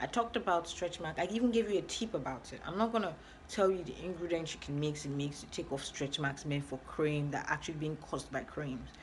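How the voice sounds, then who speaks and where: Very fast and somewhat breathy, a woman speaks with a very deep, low pitch and lively intonation. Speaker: skincare vlogger. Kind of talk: tutorial.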